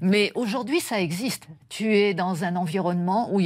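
With a plain, everyday voice, a woman speaks at a moderate pace and ordinary pitch variation. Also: very clean recording, silent background. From France. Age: 50s. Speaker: astrobiologist. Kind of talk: radio interview.

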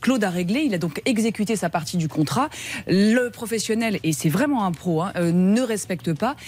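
A woman's ordinary speaking voice at medium pitch, with lively intonation and a moderate pace. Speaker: lawyer. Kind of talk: radio consumer advice. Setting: studio. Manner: indignant.

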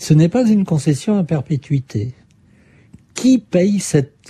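A man's dark, mellow voice swings very widely in pitch. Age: 60s. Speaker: journalist and author. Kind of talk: interview. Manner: hesitant, with fillers.

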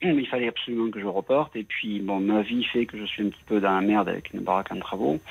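Talking very fast with hardly any pauses, a man uses a fairly low pitch and ordinary pitch variation. Noticeable background noise is present. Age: 60s. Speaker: radio caller. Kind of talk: phone-in confession. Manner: halting.

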